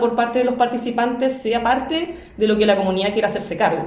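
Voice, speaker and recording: With a Chilean accent, a woman talks at a fairly quick pace and ordinary pitch variation, heard with audible room echo and noticeable background noise. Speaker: educational psychologist. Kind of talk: interview. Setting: at her home.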